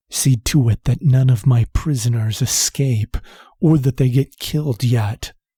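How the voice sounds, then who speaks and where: A man does a put-on character voice at medium pitch and a moderate pace. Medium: read story. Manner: smug, mocking.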